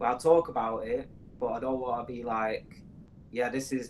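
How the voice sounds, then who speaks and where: In a Mancunian accent, a man speaks at a moderate pace. His pitch is medium and his intonation fairly even. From northern England, Manchester. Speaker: podcast co-host. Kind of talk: casual chat. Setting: studio.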